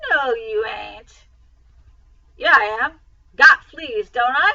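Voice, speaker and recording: A woman uses a hoarse, put-on character voice, high-pitched with very wide pitch swings. She speaks at a very slow pace, with big swings in loudness. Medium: read story. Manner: gruff drawl.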